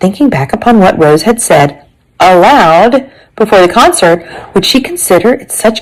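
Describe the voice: The delivery is plain reading aloud. Lively intonation runs through it.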